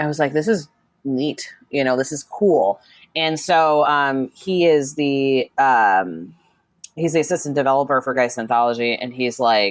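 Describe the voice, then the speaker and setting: With a Chicago accent, a woman talks at a very deep, low pitch over a quiet background. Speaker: social media manager and RPG writer. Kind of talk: casual interview chat. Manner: animated, many fillers.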